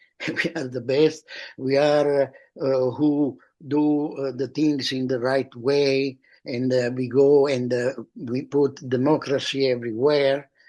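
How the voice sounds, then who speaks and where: Very slowly, a man speaks in a dark, mellow tone at a medium pitch, his intonation monotone and flat. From Italy. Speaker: performance artist. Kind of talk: interview. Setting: video call. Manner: halting, many fillers and repetitions.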